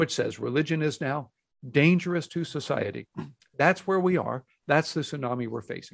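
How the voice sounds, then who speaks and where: An ordinary speaking voice from a man with an American accent, fairly high in pitch, with ordinary pitch variation, against a quiet background. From Texas, Houston. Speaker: pastor and author. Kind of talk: interview.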